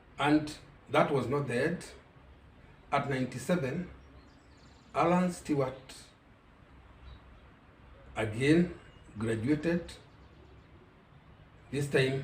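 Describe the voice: A man with medium pitch talks at a slow pace with ordinary pitch variation, long, frequent pauses, and audible room echo.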